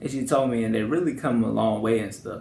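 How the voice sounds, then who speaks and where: A man at medium pitch, talking at a very fast pace amid audible room echo. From northwest Louisiana, Shreveport. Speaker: YouTuber. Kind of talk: personal vlog monologue. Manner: talkative, casual.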